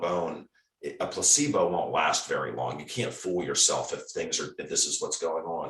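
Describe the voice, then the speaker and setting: The man speaks at a moderate pace, and room echo can be heard. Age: 60s. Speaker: retired foot surgeon. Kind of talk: interview. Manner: halting, with frequent repetitions.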